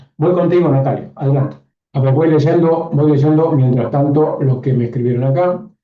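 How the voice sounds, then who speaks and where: Audible room echo surrounds speech delivered at a moderate pace. The intonation is fairly even and the loudness very even. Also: man, fairly high pitch for a man. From northern Argentina, Catamarca. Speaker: online course teacher, systemic coach. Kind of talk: live online class.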